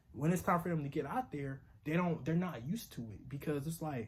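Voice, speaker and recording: Somewhat breathy, a man talks at a fairly high pitch and a fairly quick pace with ordinary pitch variation. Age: 20s. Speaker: vlogger. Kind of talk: casual vlog monologue. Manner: casual, halting with fillers.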